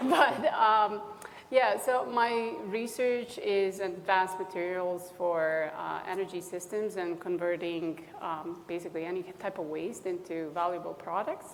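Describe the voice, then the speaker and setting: The speech is fairly slow with hardly any pauses and ordinary pitch variation. Noticeable background noise sits behind it. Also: woman, medium pitch for a woman. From Bosnia. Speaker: engineering professor, panelist. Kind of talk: panel discussion.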